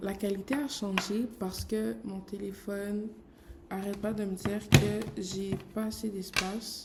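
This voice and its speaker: Noticeable background noise and audible room echo surround a woman speaking very slowly with fairly even intonation. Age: 20s. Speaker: graphic designer. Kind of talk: vlog. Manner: casual, filler-heavy.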